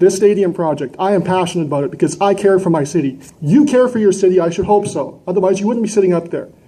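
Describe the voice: A man speaks at a fairly quick pace in a high pitch, with a dark, mellow tone and ordinary pitch variation. Room echo is audible.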